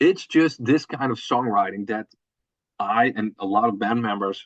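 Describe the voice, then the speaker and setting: A man with a Dutch accent speaks at a fairly slow pace. The sound is dry and close, with no echo. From Netherlands. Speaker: metal band drummer. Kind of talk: interview. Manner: halting, with repetitions.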